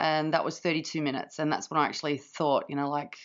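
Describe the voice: The speaker shouts at a fast pace in a hoarse voice. The intonation stays fairly even. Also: woman, low pitch for a woman.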